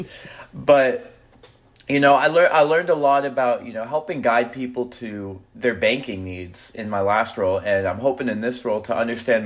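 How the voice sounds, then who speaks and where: A man with an American accent speaks at a moderate pace in a medium pitch, using a normal speaking voice. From Texas. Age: 20s. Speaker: finance guest, banker. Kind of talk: casual podcast interview.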